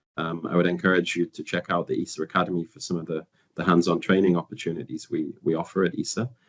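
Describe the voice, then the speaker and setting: A man talks with a northern English accent. His pace is very fast. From northern England. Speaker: internship program coordinator. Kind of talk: webinar presentation. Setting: live webinar. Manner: hesitant with fillers and repetitions.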